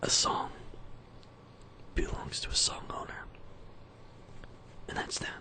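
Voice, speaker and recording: Whispering in a breathy way, a man speaks at a fairly slow pace against noticeable background noise. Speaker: musician. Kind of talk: casual talk to camera.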